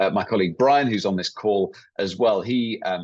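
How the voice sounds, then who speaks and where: A man speaks at a fairly quick pace with an English accent. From England. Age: 40s. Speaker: workshop leader, company employee. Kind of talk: online workshop presentation.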